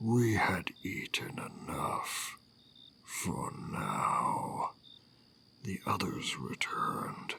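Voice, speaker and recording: Very slowly, a man speaks in a raspy, menacing put-on character voice. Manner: slow, menacing.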